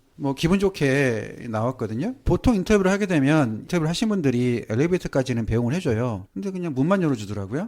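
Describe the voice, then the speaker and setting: Very fast, lively-intoned speech from a man on a very clean recording with a silent background. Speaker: nurse. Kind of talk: interview storytelling. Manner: casual, anecdotal.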